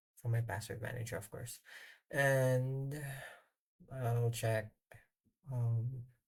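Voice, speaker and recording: Very slow speech in a non-native accent, broken by long, frequent pauses. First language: not English. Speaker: software developer. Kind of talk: screen-recorded tutorial. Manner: halting, many fillers.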